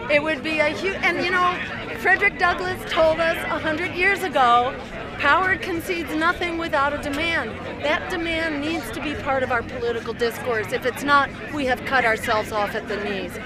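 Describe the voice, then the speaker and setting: Over crowd noise in the background, a woman talks at a moderate pace in a dry recording with no echo. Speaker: activist giving press interview. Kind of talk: interview answer. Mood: earnest, persuasive. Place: street. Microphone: handheld.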